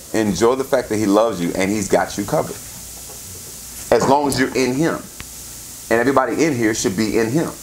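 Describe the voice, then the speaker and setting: A man talks at a fairly quick pace with lively intonation and a medium pitch. Audible room echo and noticeable background noise accompany him. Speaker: pastor. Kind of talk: sermon. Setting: church service with congregation. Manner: interactive, call-and-response.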